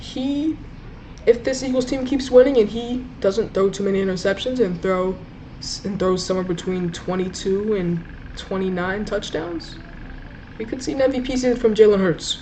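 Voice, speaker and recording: The voice moves at a moderate pace with ordinary pitch variation. Noticeable background noise is present. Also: woman, medium pitch for a woman. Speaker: sports YouTuber. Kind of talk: solo sports ranking commentary. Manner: stuttering at times; casual, hesitant with fillers.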